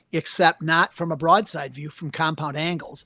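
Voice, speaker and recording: In a Wisconsin accent, a man speaks at a moderate pace, the sound dry and close with no echo. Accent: Upper Midwest (Wisconsin) American. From US Upper Midwest, southern Wisconsin. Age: 60s. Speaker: taxidermist and hunting anatomy teacher. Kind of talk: podcast interview.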